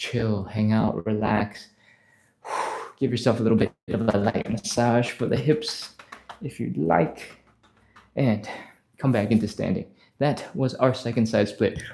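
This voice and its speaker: A man at a fairly slow pace, medium in pitch with ordinary variation, his tone dark and mellow, with long, frequent pauses. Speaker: stretching instructor. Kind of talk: live workout instruction. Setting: live stream.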